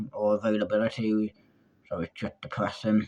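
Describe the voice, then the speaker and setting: This man has a British accent. He talks at a moderate speed. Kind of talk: storytime monologue. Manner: loud.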